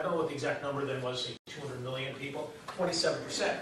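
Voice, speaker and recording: A man's voice with light background noise and audible room echo. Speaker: voter mobilization organization leader. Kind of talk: presentation to an audience. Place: hall.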